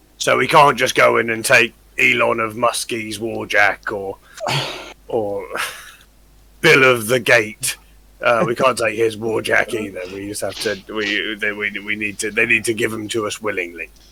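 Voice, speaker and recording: Using a put-on character voice, a man speaks in a raspy, medium-pitched tone at a moderate pace, with fairly even intonation and long, frequent pauses. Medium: actual play. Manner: courtly, wry.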